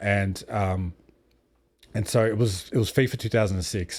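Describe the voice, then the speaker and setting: The pace here stays moderate. An Australian accent runs through the speech. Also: man. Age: 30s. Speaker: streamer and podcast host. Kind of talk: casual interview chat. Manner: rambling, many fillers.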